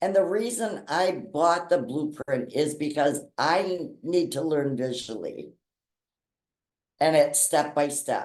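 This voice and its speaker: A woman with an American accent speaks at a very slow pace. Her pitch is very deep and low, and her intonation is lively. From Wisconsin. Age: 60s. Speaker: customer giving testimonial. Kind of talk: testimony.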